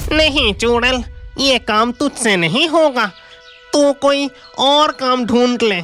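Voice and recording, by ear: In a cartoonish character voice, a female-sounding speaker with a fairly high pitch talks at a fairly slow pace over faint background music.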